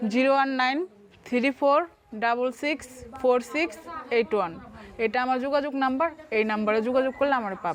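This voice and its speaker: Her voice sits high for a woman, with ordinary pitch variation, over noticeable background noise. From Bangladesh, Madaripur (Shibchar). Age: 20s. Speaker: divorced mother seeking a partner. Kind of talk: street interview.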